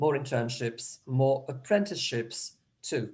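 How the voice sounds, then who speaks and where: At a fairly slow pace, a man talks at a fairly high pitch. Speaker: educator presenting a programme. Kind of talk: presentation in an online meeting. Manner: halting, many false starts.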